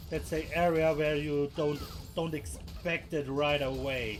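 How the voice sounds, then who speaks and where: Music plays in the background and room echo is audible as a man with a German accent speaks at a very slow pace in a fairly high pitch. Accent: German accent noticeable. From Germany. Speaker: gaming video creator. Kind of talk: gameplay tutorial. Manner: halting, many fillers.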